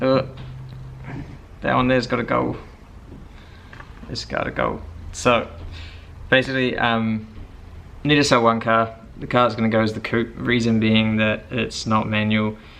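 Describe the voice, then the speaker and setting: A man at medium pitch speaks at a moderate pace with fairly even intonation and long, frequent pauses. Noticeable background noise and audible room echo fill the recording. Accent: New Zealand. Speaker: car vlogger. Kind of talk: casual vlog.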